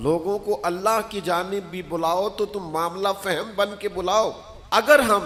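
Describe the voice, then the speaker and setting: Noticeable background noise accompanies a man whose high pitch varies in an ordinary way. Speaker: Islamic preacher. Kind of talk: Islamic sermon (bayan) delivered to an audience. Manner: earnest, passionate, persuasive.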